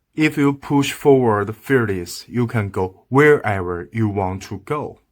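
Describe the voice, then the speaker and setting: A man's medium-pitched voice at a very slow pace, on a very clean recording with a silent background. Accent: strong Chinese. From China. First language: Chinese. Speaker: video commentator. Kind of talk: opinion monologue to camera. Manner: halting, broken English; animated.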